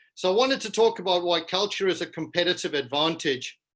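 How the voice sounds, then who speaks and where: Over a quiet background, a man with a South African accent speaks in a high pitch with ordinary pitch variation and a bright, sharp tone. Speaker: business culture consultant. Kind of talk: keynote presentation.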